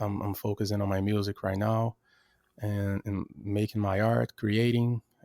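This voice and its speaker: In a Brazilian accent, a man speaks with a dark, mellow tone and monotone, flat intonation. The sound is dry and close with no echo, on a very clean recording with a silent background. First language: Portuguese. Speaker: rapper and music producer. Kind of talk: casual interview chat. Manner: halting, with many repetitions.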